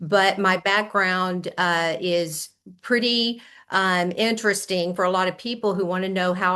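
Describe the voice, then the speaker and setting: Speaking at a medium pitch, a woman with an American accent has a bright, sharp tone. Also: quiet background. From US South. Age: 60s. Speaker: health coach. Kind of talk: interview testimony. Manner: animated.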